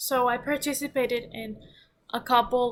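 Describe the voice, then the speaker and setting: Fairly high pitch from a woman, her intonation fairly even. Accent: non-native. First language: not English. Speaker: book reviewer. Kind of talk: casual vlog review. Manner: halting, many fillers and restarts.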